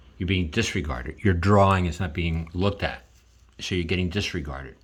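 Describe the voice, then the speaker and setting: A man speaks at a very deep, low pitch with vocal fry. His pace is fairly quick and his pitch variation ordinary. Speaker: artist and video creator. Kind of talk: drawing tutorial with commentary. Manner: halting, many repetitions.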